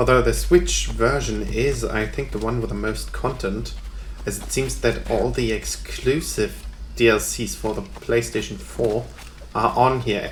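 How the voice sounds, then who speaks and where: A man with a German accent at a fairly slow pace, with noticeable background noise and audible room echo. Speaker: gaming YouTuber. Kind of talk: let's play commentary. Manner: hesitant, many fillers.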